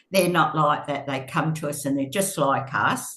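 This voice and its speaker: A woman with an Australian accent, a very deep, low pitch, fairly even intonation and a fairly slow pace. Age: 80s+. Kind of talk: podcast interview answer. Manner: hesitant, chatty.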